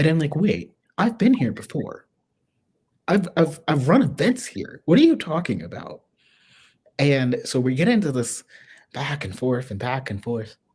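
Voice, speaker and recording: Soft-spoken, in an American accent, the speaker goes at a moderate pace with long, frequent pauses. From US Midwest, small-town Ohio. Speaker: swing dancer. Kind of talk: casual interview conversation. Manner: soft-spoken and quiet.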